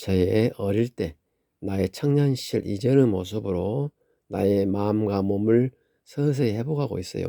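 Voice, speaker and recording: A man speaks at a fairly slow pace in a dark, mellow voice with lively intonation. The recording is very clean, with a silent background. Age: 60s. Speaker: family caregiver for elderly mother. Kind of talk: personal vlog monologue. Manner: halting.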